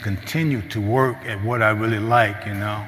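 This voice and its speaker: A man at medium pitch with an American accent, fairly even intonation and a moderate pace, amid noticeable background noise and audible room echo. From US Midwest, St. Louis, Missouri. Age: 60s. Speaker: recovery program graduate, mentor. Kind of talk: testimony. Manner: halting.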